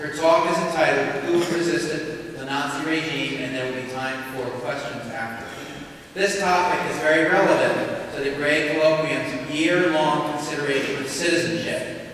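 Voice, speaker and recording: In a room with strong echo and light background noise, a man with a fairly high pitch speaks at a moderate pace with fairly even intonation. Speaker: school colloquium host. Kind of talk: speaker introduction. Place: hall.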